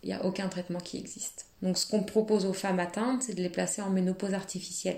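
Amid noticeable background noise, the speaker talks at a very fast pace in a monotone, flat intonation. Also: woman, medium pitch for a woman. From France, Nantes. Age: 30s. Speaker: asylum lawyer sharing illness story. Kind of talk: testimony. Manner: hesitant, many fillers.

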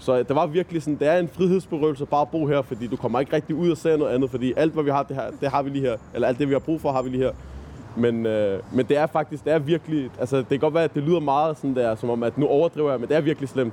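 The tone is dark and mellow, with ordinary pitch variation, at a very fast pace. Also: man, fairly high pitch for a man. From Copenhagen, Nørrebro. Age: 20s. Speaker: volunteer tour guide, student. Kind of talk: guided walking tour. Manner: halting, many fillers.

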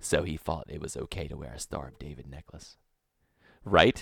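A man talks at a fairly quick pace with ordinary pitch variation. Vocal fry runs through his voice. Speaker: podcast co-host. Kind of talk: casual banter, comedy podcast. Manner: joking, bantering, interrupts often.

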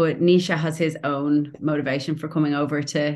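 A woman's very deep, low voice in a Dublin accent at a moderate pace. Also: quiet background. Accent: Dublin Irish. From Ireland, Dublin. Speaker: playwright and actor. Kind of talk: casual interview chat.

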